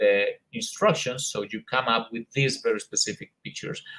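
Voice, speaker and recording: A man speaks with a Colombian accent and very wide pitch swings. His voice carries vocal fry. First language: Spanish. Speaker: English teacher, conference presenter. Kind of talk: conference presentation. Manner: hesitant with many fillers.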